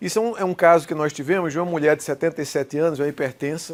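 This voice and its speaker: Speaking very fast, the man keeps his intonation fairly even. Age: 60s. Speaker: cardiologist, electrophysiologist. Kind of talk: medical lecture. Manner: informal, conversational.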